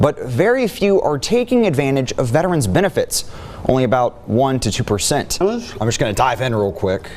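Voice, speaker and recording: An energetic man speaks at a moderate pace with a fairly high pitch. His pitch swings very widely over noticeable background noise. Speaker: TV news reporter and anchor. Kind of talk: TV news reporting. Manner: energetic, conversational broadcast delivery.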